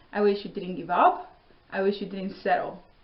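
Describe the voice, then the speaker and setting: There's audible room echo around a woman speaking at a medium pitch. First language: not English. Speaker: vlogger, Air Force veteran. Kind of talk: personal storytelling monologue. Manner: casual, conversational.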